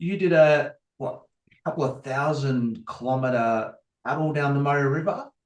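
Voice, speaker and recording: Speaking with an Australian accent, a man keeps a moderate pace at a fairly high pitch. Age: 50s. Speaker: podcast host. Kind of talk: interview.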